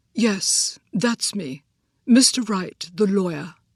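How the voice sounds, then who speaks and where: A woman delivers her lines very slowly in a put-on character voice. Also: medium pitch for a woman. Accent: slight British. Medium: read story. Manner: dry, understated.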